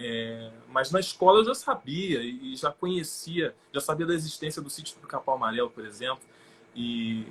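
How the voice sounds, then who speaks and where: Delivered at a moderate pace, a normal speaking voice carries lively intonation and big swings in loudness. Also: man, fairly high pitch for a man. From Rio de Janeiro state, Brazil (São Gonçalo). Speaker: actor. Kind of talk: interview on a live stream.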